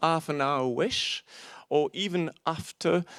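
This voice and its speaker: The recording is very clean and silent in the background, with a dry, close sound with no echo, as a man speaks in a fairly high voice. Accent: non-native. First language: not English. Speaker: panel moderator, bookseller. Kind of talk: panel discussion introduction. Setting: auditorium with audience. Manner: hesitant, with fillers.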